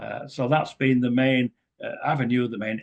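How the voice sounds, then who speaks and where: Speaking in an English accent, a man talks at a medium pitch. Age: 70s. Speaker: author and speaker on ET contact. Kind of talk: talk to a group. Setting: community center with audience.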